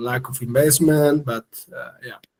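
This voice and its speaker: A man speaks with monotone, flat intonation. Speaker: urban planning expert. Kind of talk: webinar presentation. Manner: halting.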